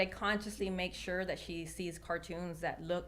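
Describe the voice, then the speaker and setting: Talking at a fairly quick pace with a Spanish accent, a woman keeps a monotone, flat intonation. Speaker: attorney. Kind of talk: panel discussion.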